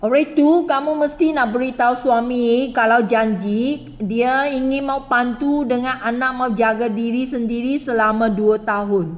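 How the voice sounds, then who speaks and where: A woman with a Malaysian accent speaks in a high voice at a fairly slow pace, with hardly any pauses. Her pitch varies in an ordinary way, and there is noticeable background noise. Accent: Malaysian Malay. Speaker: recruitment interviewer. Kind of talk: job interview.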